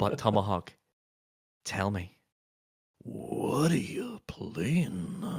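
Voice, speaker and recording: Speaking in a put-on character voice, a man with a medium pitch sounds raspy, talks at a very slow pace with long, frequent pauses, and makes very wide pitch swings. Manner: impression, self-described as terrible.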